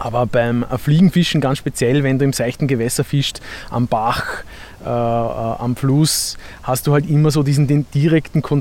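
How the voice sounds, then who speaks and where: The speech moves at a fairly slow pace with fairly even intonation and very even loudness, over noticeable background noise. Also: man. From Vorarlberg, Austria; Vienna area from 15. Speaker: musician and angler. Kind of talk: casual explanation.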